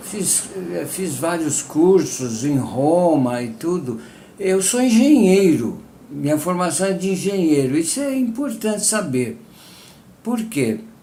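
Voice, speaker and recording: A man speaks at a very slow pace with a high pitch and very wide pitch swings. Audible room echo fills the space. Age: 80s+. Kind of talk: personal testimony. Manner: halting, with fillers.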